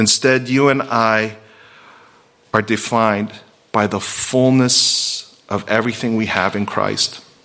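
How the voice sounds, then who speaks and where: This man talks at a fairly slow pace with a medium pitch and a monotone, flat intonation. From Virginia. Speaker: pastor. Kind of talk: sermon.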